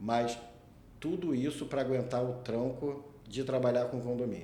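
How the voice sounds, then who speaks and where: Someone with a strong Rio de Janeiro accent speaks at a fairly slow pace with ordinary pitch variation, and audible room echo is present. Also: man, medium pitch for a man. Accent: strong carioca. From Rio de Janeiro, Brazil. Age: 40s. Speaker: condominium lawyer, podcast host. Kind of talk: casual chat.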